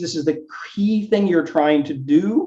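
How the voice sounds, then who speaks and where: This man's pitch is high. It swings very widely. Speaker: workshop speaker on product design. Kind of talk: workshop presentation.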